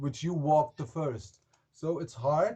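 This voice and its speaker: A man speaks with a German accent at a moderate pace. His voice is somewhat breathy, with ordinary pitch variation. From Germany. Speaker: rock singer. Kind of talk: interview.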